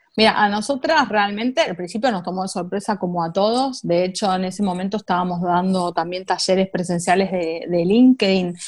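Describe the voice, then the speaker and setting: With hardly any pauses, a woman with a Rioplatense accent speaks at a fairly quick pace. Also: medium pitch for a woman, ordinary pitch variation. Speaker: tech marketing professional. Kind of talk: interview.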